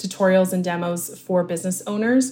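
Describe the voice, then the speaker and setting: The voice is somewhat breathy and moves at a moderate pace. The recording is very clean, and the background is silent. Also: woman. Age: 30s. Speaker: social media marketing coach. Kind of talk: interview.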